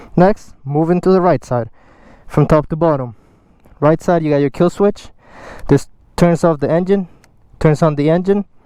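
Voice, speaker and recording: A man's fairly high, dark and mellow voice with a non-native accent, at a moderate pace with ordinary pitch variation. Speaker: motorcycle rider. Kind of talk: instructional talk to camera. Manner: casual.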